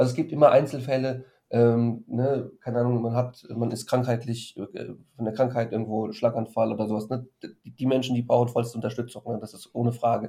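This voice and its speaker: The delivery is fairly quick and somewhat breathy, with monotone, flat intonation and big swings in loudness. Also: man, medium pitch for a man. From Frankfurt, Germany. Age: 30s. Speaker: financial advisor and blogger. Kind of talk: casual interview. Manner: hesitant, many fillers.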